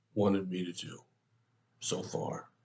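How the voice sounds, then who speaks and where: A man speaks in a somewhat breathy voice. His pace is fairly slow. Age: 70s. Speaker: pastor. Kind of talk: devotional talk.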